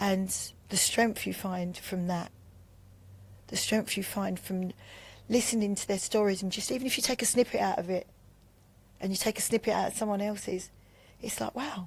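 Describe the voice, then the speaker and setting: In a very clean recording with a silent background, a woman speaks at a moderate pace in a somewhat breathy, medium-pitched voice with fairly even intonation and long, frequent pauses. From Bermondsey, London. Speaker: recovering addict. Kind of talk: testimony.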